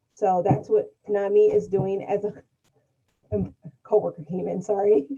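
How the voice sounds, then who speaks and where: A woman with an ordinary speaking voice talks at medium pitch and a moderate pace, with ordinary pitch variation. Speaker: mental health nonprofit worker. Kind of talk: webinar panel discussion.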